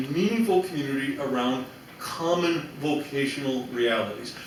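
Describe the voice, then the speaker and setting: A man talks at a fairly slow pace with ordinary pitch variation, with audible room echo and noticeable background noise. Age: 60s. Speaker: theology professor. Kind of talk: panel Q&A answer. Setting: symposium with audience. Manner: animated, frequent self-restarts.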